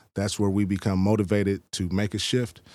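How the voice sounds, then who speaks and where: The recording is very clean, with a silent background. A man speaks at a moderate pace with a fairly low pitch and fairly even intonation. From Oakland, California; moved to Texas at sixteen. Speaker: author and police trainer. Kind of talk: casual interview. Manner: halting, frequent ums.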